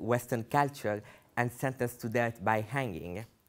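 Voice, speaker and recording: On a very clean recording with a silent background, a man at medium pitch speaks at a moderate pace with fairly even intonation. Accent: non-native. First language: not English. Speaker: human rights activist. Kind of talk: public speech.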